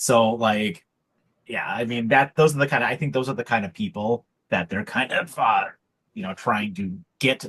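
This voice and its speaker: A normal speaking voice at a moderate pace, quiet background. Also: man. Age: 40s. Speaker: wrestling podcast co-host. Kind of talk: casual chat.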